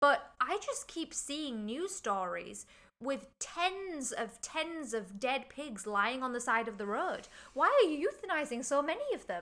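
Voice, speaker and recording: A woman with an English accent speaks in a raised, projected voice at a fairly slow pace, her high pitch making very wide swings. Her tone is bright and sharp, on a very clean recording with a silent background. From England. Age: young. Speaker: podcast co-host. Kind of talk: casual chat.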